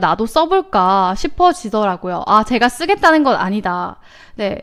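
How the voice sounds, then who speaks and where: Very wide pitch swings run through this woman's speech. She keeps a fairly slow pace. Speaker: stock market show host. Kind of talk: live market commentary with chat interaction. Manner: casual, many fillers.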